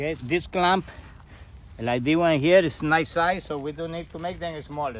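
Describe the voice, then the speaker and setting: A man with a Costa Rican accent speaks at a fairly slow pace in a high voice with ordinary pitch variation. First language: Spanish. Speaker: landscaper. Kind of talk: tutorial. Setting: outdoors. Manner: halting.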